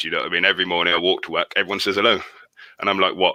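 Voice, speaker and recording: A man's voice with a dry, close sound and no echo. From Somerset, England. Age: 30s. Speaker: friend of host. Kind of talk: casual chat.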